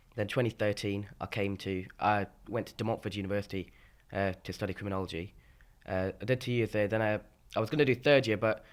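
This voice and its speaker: The man's voice sits fairly low. He talks very fast. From Scotland, Aberdeen. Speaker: student singer-songwriter. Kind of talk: casual chat. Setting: informal interview with a cup of tea. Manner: animated.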